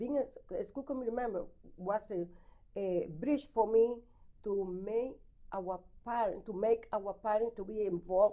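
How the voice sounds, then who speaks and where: A woman with a strong Spanish accent and a dark, mellow tone speaks at a moderate pace in a fairly high pitch, leaving long, frequent pauses. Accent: heavy Spanish. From Dominican Republic. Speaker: school committee member and candidate. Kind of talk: interview. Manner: halting.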